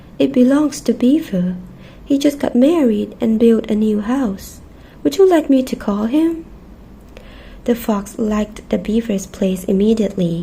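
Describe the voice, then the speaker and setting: A soft-spoken woman uses a gentle tone at a high pitch. She moves through very wide pitch swings at a fairly slow pace. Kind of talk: children's storybook reading. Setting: cozy bedtime ASMR setup with snacks. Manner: soft-spoken, gentle.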